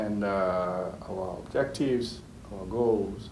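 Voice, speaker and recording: Audible room echo surrounds a man whose voice sits fairly low in pitch. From Ghana, later raised in Italy. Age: 30s. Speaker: engineer. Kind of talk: interview.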